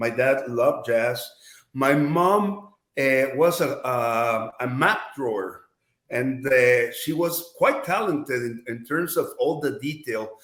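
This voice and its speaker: A man with a Mexican accent speaks at a fairly slow pace with lively intonation. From Mexico. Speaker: advertising executive. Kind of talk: podcast interview. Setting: studio. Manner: hesitant with repetitions.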